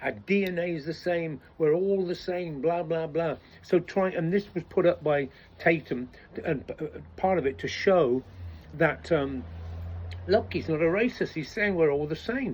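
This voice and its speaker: A man with an English accent, high in pitch, at a moderate pace. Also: ordinary pitch variation. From England. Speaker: political commentator. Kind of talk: casual monologue. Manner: halting, many false starts.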